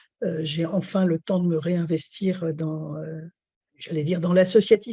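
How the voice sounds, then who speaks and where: In a dark, mellow tone, a somewhat breathy woman speaks at a fairly low pitch and a moderate pace, with a dry, close sound and no echo. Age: 60s. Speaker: retiree, patient representative. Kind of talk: interview.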